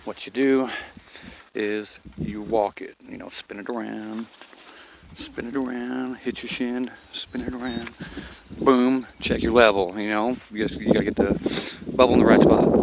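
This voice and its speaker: A man's medium-pitched voice, fairly slow and monotone in its flat intonation, with big swings in loudness and noticeable background noise. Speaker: off-grid homesteader vlogger. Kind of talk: casual outdoor tutorial. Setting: outdoors on a mountain. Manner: casual, rambling, self-correcting.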